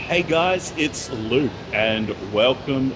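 A man is speaking. Music plays in the background. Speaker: travel vlogger. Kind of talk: casual vlog chat. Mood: relaxed, upbeat. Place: station. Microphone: phone near.

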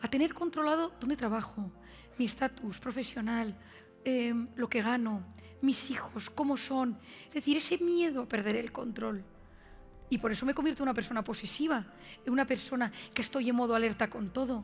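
Faint music plays in the background as a woman with a high pitch speaks at a moderate pace, ordinary pitch variation, and long, frequent pauses. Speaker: conference speaker. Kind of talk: motivational talk. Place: stage. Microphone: headset.

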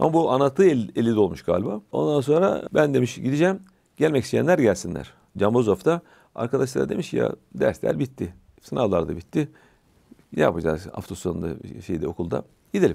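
Vocal fry in a dark, mellow tone, with very wide pitch swings and long, frequent pauses against a quiet background. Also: man, fairly low pitch for a man, moderate pace. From Bulgaria, Tırnava region; Bulgaria. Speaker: religious scholar; interview guest. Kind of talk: casual chat. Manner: halting. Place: studio. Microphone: lapel.

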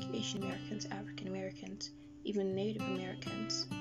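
Loud music plays in the background. The speech moves at a fairly quick pace. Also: woman. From Netherlands. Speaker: spoken word poet. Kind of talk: slam poetry performance. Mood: earnest, critical. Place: home room.

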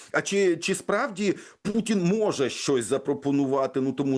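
Over a quiet background, a man talks in a plain, everyday voice at a moderate pace with ordinary pitch variation. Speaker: radio host. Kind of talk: news discussion. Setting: studio.

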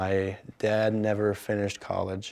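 At a moderate pace, someone speaks in an American accent. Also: man. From Minnesota, USA. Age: young. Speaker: college student. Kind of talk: interview answer. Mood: calm, positive.

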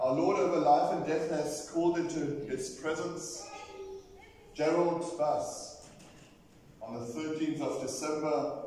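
Through strong room echo and light background noise, a man speaks at a fairly slow pace with fairly even intonation and long, frequent pauses. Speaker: minister leading a service. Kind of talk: liturgical address to congregation. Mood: solemn, memorial. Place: church.

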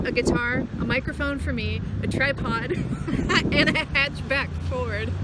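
A woman speaks in a dry recording with no echo, over loud background noise. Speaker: musician vlogger. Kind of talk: casual vlog chat. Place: street. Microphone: phone near.

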